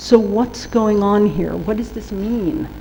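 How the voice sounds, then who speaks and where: A woman with a New York accent speaks at a medium pitch and a fairly slow pace. Noticeable background noise and audible room echo surround her voice. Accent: New York American. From US, New York. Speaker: workshop trainer on trade rules. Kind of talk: lecture.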